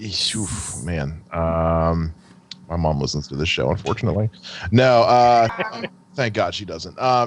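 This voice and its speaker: A man with a very deep, low voice speaks fairly slowly with long, frequent pauses and lively intonation. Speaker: podcast co-host. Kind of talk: casual chat.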